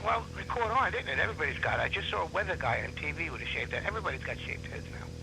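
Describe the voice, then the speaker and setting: Over music in the background, a man talks at a very fast pace. He leaves hardly any pauses. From New York. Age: 60s. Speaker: comedian. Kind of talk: casual chat. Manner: animated.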